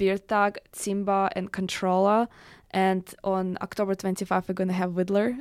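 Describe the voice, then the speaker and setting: A woman's medium-pitched voice with a Russian accent, monotone, flat intonation and a fairly slow pace, on a very clean recording with a silent background. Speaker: electronic music producer and DJ. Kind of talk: radio interview. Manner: halting.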